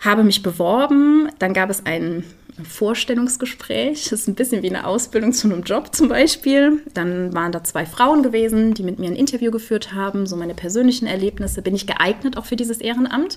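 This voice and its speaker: A woman talks at a fairly quick pace in an ordinary speaking voice. Her pitch is fairly high, her intonation lively, with hardly any pauses. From Germany, Eifel region. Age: 20s. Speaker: volunteer hospice companion and theologian. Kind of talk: interview. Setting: at her home.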